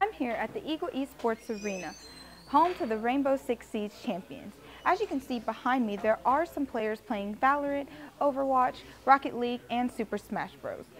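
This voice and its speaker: Over light background noise, a woman talks at a moderate pace with high pitch and lively intonation. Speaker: student news reporter. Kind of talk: news report. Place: hall. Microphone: lapel.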